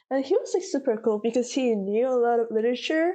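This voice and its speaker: With a Korean accent, a woman speaks in a fairly high pitch with a dark, mellow tone over a quiet background. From South Korea. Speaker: college student. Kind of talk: interview.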